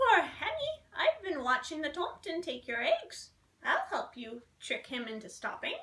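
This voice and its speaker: In a put-on character voice, the speaker talks at a moderate pace. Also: woman, extremely high pitch for a woman. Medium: read story.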